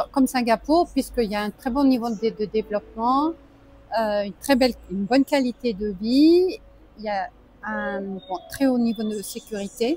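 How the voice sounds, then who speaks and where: Lively in intonation, a woman speaks at a moderate pace with a fairly high pitch. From French Alps. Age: 60s. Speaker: expat entrepreneur, AI trainer. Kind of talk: interview. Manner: halting, many hesitations.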